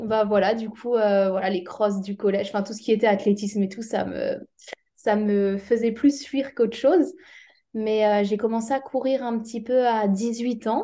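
A woman's fairly high, dark and mellow voice, fairly slow and full of long, frequent pauses, with ordinary pitch variation. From Alsace, France. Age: 20s. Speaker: amateur trail runner and physiotherapist. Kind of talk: casual interview. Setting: remote call with latency.

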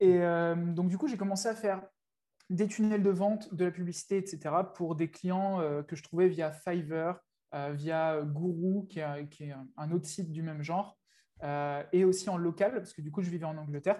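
Speaking fairly slowly with long, frequent pauses, a man with a high pitch and a dark, mellow tone keeps his intonation fairly even. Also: very clean recording, silent background. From France. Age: 20s. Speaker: online entrepreneur, agency owner. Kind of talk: casual interview.

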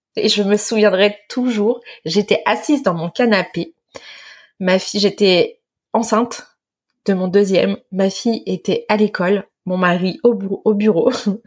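Speaking at a fairly slow pace, a woman keeps a medium pitch and ordinary pitch variation. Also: long, frequent pauses. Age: 30s. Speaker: online business founder. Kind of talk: interview testimony.

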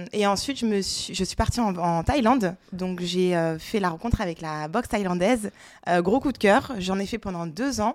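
Speaking at a moderate pace, a woman of medium pitch uses ordinary pitch variation in an ordinary speaking voice. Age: 30s. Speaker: gym member, events worker. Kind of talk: casual chat.

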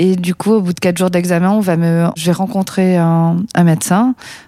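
A woman speaks at a moderate pace and medium pitch with fairly even intonation, the sound dry and close with no echo. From southern France, Perpignan. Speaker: paralympic athlete. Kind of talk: testimony. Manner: halting.

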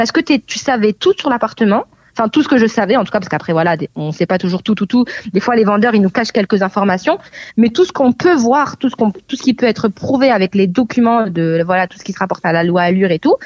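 Very fast speech with lively intonation. The sound is dry and close, with no echo. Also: woman, fairly high pitch for a woman. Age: 20s. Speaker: real estate agent. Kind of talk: interview.

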